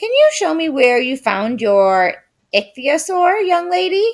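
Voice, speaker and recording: Using a put-on character voice, a woman speaks at a fairly slow pace, high in pitch and with very wide pitch swings. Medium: read story. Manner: polite.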